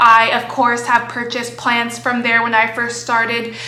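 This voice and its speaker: Over noticeable background noise and audible room echo, a woman with an American accent speaks in a high pitch with an animated tone. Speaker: plant hobby youtuber. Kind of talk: casual vlog tutorial.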